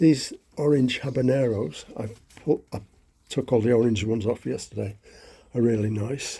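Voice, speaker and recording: A man speaks at a moderate pace with long, frequent pauses and a medium pitch. His voice is somewhat breathy and dark and mellow in tone, with ordinary pitch variation. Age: 70s. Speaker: allotment gardener. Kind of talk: casual walkthrough vlog. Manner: hesitant, many fillers.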